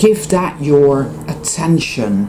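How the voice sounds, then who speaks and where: A woman with a Dutch accent speaks with very wide pitch swings, amid audible room echo and noticeable background noise. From Netherlands. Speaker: spiritual vlogger. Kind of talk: casual vlog monologue. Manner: emphatic.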